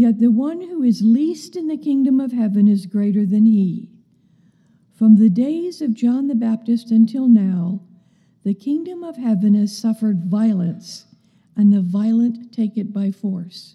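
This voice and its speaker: A woman speaks at a fairly slow pace and fairly high pitch with lively intonation. Hers is a normal speaking voice. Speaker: scripture reader. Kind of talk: reading aloud. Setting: church.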